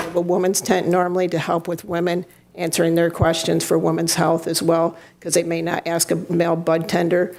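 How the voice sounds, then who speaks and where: Noticeable background noise sits behind a woman speaking in a flat, monotone intonation. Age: 60s. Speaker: cannabis event organizer. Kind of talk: public comment at city council meeting.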